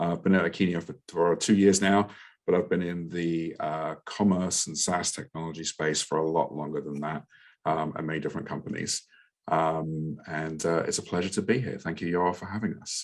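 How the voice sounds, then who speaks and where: This man has a London accent and a very deep, low pitch. He talks at a moderate pace with fairly even intonation. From England, London. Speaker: product marketing director. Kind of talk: podcast panel discussion. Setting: live online podcast with audience.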